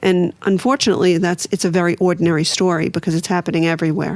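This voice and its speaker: A woman talks very fast in a Brooklyn accent. Her voice is fairly low, with fairly even intonation. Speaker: author and recovery advocate. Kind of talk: podcast interview.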